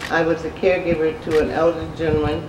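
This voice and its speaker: A woman with an American accent, her pitch very deep and low, at a fairly quick pace amid audible room echo and noticeable background noise. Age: 70s. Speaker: housing resident. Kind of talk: speech at event.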